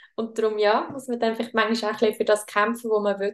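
A woman talks at a very fast pace. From Switzerland. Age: 20s. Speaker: podcast host. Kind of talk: casual chat.

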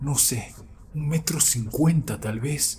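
Music plays in the background as a man speaks very slowly. His pitch varies in an ordinary way. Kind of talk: scary story telling, first-person account of a wolf sighting. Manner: slow, tense, hushed suspense with emphatic repetition; earnest, insistent, building dread.

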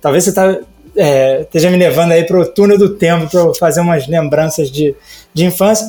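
A man speaks with a high-pitched voice. His intonation stays fairly even at a moderate pace. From Brazil, Rio de Janeiro. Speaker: type designer. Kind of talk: casual interview chat. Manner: hesitant, many fillers.

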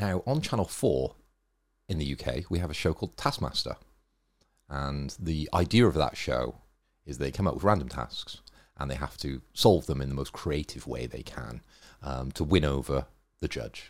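With a British accent and a very deep, low pitch, a man speaks at a moderate pace with vocal fry and long, frequent pauses on a very clean recording with a silent background. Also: ordinary pitch variation. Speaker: podcast co-host. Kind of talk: casual chat.

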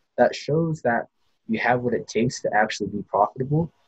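Soft-spoken and somewhat breathy, a man is heard in a dry, close recording with no echo. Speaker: venture capitalist. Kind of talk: interview.

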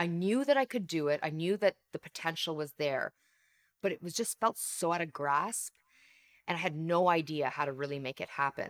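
A woman's plain, everyday voice, fairly low in pitch, with lively intonation, a Canadian accent, a moderate pace and a dry, close sound with no echo. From Canada. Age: 40s. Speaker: leadership coach and author. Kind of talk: interview conversation.

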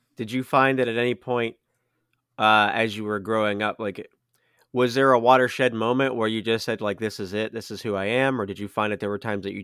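An American accent at a fairly quick pace, in a very clean recording with a silent background and a dry, close sound with no echo. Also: man. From United States. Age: 30s. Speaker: podcast host. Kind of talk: casual chat. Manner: halting, many fillers.

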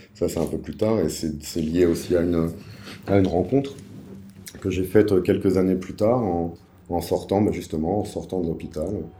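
A man's very deep, low voice in a dark, mellow tone, with long, frequent pauses and audible room echo. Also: fairly even intonation, moderate pace. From Paris suburbs, France. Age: 40s. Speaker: podcast guest sharing life story. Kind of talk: personal testimony interview. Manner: hesitant, many fillers.

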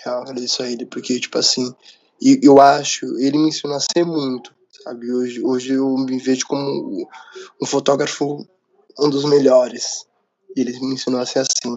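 Pausing long and often, a man speaks at a moderate pace in a monotone, flat delivery at a medium pitch. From São Paulo, Brazil. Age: 20s. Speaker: photographer, former arts student. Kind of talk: casual interview. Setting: late-night recording.

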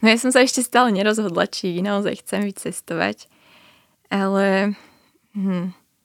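A moderate pace with long, frequent pauses and fairly even intonation, on a very clean recording with a silent background. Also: woman, medium pitch for a woman. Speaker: journalism student and documentary author. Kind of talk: radio interview.

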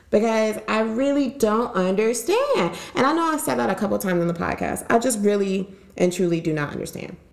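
Lively intonation and a fairly quick pace with hardly any pauses come through over noticeable background noise. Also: woman, medium pitch for a woman. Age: 20s. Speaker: podcast host. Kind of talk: casual chat. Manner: animated.

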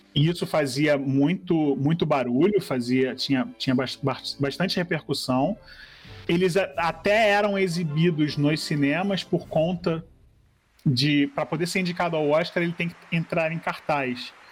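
With music in the background, a man with a fairly high pitch speaks at a fairly slow pace, using ordinary pitch variation and very even loudness. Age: 40s. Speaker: graphic designer and film blogger. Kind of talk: reading aloud; casual chat.

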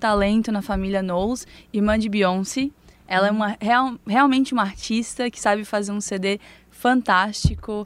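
Speaking with a fairly high pitch and fairly even intonation at a moderate pace, the woman has a plain, everyday voice. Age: young. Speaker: newspaper designer, culture commentator. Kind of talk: casual chat.

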